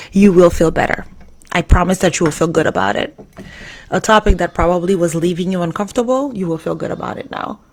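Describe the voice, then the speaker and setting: A woman talks at a fairly low pitch. Noticeable background noise runs underneath. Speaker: live stream host. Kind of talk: live stream talk.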